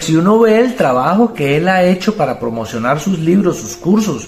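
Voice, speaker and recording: A man's high-pitched voice at a fairly quick pace, with lively intonation and music in the background. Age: 50s. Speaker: personal growth youtuber. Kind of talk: testimony.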